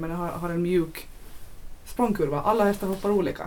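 Noticeable background noise and audible room echo accompany this woman as she speaks. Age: 20s. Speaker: show jumping rider. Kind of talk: casual chat.

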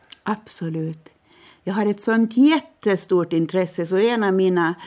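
Dark, mellow female voice, fairly low in pitch, with ordinary pitch variation, a fairly slow pace and a very clean recording with a silent background. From Åland, Finland. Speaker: parliamentary candidate. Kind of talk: interview. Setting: studio.

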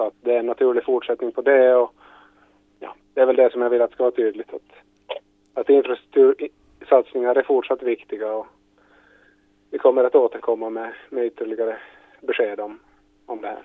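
Talking at a fairly quick pace, a man leaves long, frequent pauses, and his loudness swings widely. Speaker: government minister. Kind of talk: news interview.

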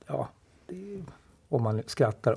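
A man's somewhat breathy, dark, mellow voice at medium pitch, on a very clean recording with a silent background. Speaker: artist and cartoonist. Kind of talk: casual discussion.

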